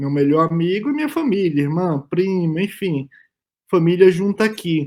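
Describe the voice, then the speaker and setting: A man talks in a high pitch. His pace is fairly slow. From Brazil, Bahia backcountry (Northeast). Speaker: immunologist, panel speaker. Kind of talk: conference talk. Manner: hesitant fillers, repeated words.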